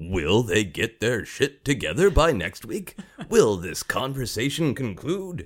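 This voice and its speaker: A man's put-on character voice, medium in pitch, with very wide pitch swings and a fairly slow pace. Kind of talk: vintage announcer delivery. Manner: dramatic, teasing cliffhanger.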